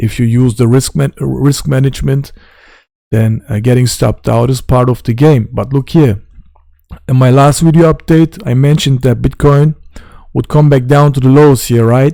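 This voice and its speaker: Speaking with a non-native accent, a man uses a medium pitch, a dark, mellow tone and fairly even intonation at a moderate pace. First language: not English; German and Turkish. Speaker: crypto trading youtuber. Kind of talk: trading tutorial. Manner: casual.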